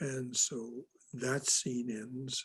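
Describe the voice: The text is just read out plainly. No more than that is heard.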